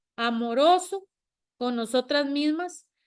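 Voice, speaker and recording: The recording is very clean, with a silent background. A woman talks at a very slow pace, her intonation lively. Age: 60s. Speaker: panel guest. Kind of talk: panel discussion.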